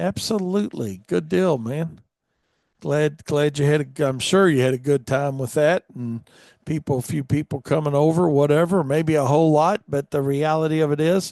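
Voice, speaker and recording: A man with an American accent speaks at a moderate pace in a fairly high pitch, with a dark, mellow tone, ordinary pitch variation, a dry, close sound with no echo and a quiet background. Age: 60s. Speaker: radio show host, lawn business owner. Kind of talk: casual live radio chat. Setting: live radio studio.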